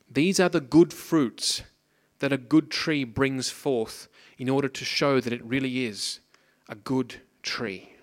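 With an Australian accent, a man talks at a fairly slow pace and medium pitch, using ordinary pitch variation and long, frequent pauses. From Australia, Pacific coast. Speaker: preacher. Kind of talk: sermon. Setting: church.

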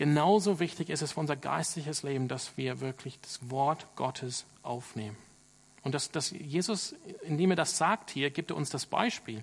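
At a moderate pace, a man talks in a fairly high pitch, somewhat breathy, with ordinary pitch variation. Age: 30s. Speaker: pastor. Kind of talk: sermon. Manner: hesitant with filler sounds.

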